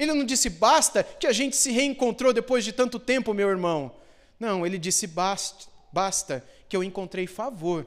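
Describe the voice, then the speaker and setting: A man's high-pitched voice at a moderate pace with very wide pitch swings, on a very clean recording with a silent background. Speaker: pastor. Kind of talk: sermon, expository Bible teaching to a congregation. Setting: church. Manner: didactic, explanatory, steady; earnest, pastoral, with explanatory asides.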